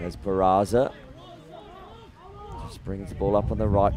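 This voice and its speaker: Over noticeable background noise, a man with an Australian accent speaks at a moderate pace and a fairly low pitch. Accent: thick Australian. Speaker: lacrosse commentator. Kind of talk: live commentary.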